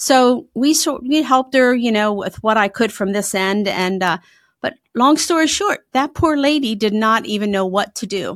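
Her moderate pace and fairly high pitch mark this woman's voice on a very clean recording with a silent background. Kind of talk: casual interview chat.

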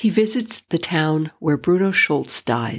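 A woman's plain, everyday voice, fairly low in pitch, with lively intonation and a fairly slow pace. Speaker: podcast host reading poetry. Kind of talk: poem reading aloud, book-page narration. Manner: measured, solemn, lyrical reading with pauses.

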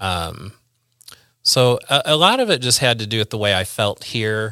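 Recorded very cleanly over a silent background, a man with a Midwestern US accent speaks at a fairly slow pace in a fairly low voice with a bright, sharp tone. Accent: US Midwest. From Central Illinois, Peoria area. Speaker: church volunteer. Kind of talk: casual chat. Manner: halting.

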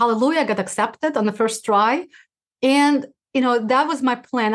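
A woman with a Russian accent at a fairly quick pace, ordinary pitch variation, and a quiet background. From former Soviet Union (Uzbekistan). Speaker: rheumatologist and podcast host. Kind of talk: interview. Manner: fast talker; halting, frequent restarts.

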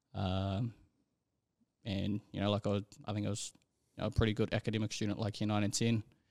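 A man with an Auckland accent at a fairly low pitch, very fast but with long, frequent pauses, monotone and flat, in a dry, close sound with no echo. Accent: New Zealand (Auckland). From New Zealand, South Auckland (Manurewa). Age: young. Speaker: rugby league referee. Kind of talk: casual interview.

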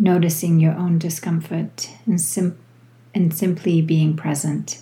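A woman speaks in a gentle, soothing tone with a fairly low pitch and a somewhat breathy quality. Her intonation stays fairly even at a fairly slow pace. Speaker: yoga teacher. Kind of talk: guided meditation. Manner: slow, soothing, calm; gentle, unhurried, with long pauses.

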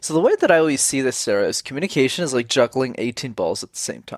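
Recorded dry and close with no echo, a man speaks at a fairly quick pace in a normal speaking voice. His pitch sits at a medium level with ordinary variation. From Montreal, Canada. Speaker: communication coach. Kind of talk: interview. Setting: video call.

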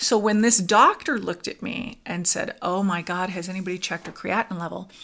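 A woman with an unremarkable speaking voice and an American accent. Her pitch is medium, her intonation fairly even, and her pace moderate. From US West Coast (Southern California). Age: 50s. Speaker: podcast host sharing her near-death experience. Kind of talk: personal testimony in interview.

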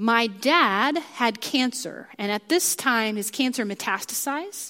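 A woman speaks in an American accent with an unremarkable speaking voice. Her pitch is fairly high and her intonation lively. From US Midwest, Kansas. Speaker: preacher. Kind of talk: sermon. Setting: church.

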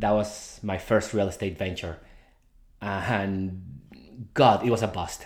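Speaking in a Spanish accent, a man with a fairly low pitch talks at a fairly slow pace, with fairly even intonation and long, frequent pauses. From Mexico. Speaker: podcast host, real estate investor. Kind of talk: solo monologue. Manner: casual with frequent fillers and repetitions.

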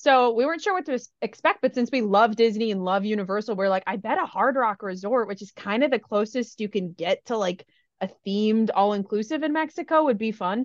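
With an Upper Midwest accent, a woman talks fairly quickly at a fairly high pitch and with lively intonation, her sound dry and close with no echo. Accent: Upper Midwest American. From US Midwest. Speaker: podcast co-host. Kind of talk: casual chat.

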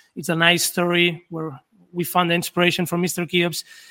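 This man has a high pitch for a man, a bright, sharp tone and a Spanish accent. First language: Spanish or Catalan. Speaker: perfumer and brand founder. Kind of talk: interview. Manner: halting.

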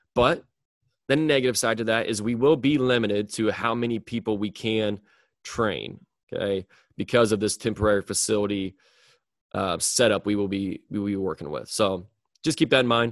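A man speaks at a moderate pace, leaving long, frequent pauses. The sound is dry and close with no echo over a quiet background. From US Midwest. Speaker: podcast host and strength coach. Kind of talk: solo podcast monologue. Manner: monotone but excited.

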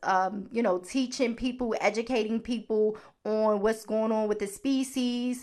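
In a Baltimore accent, a woman with a fairly high pitch speaks with fairly even intonation against a quiet background. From US, Baltimore. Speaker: podcast host. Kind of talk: solo podcast talk.

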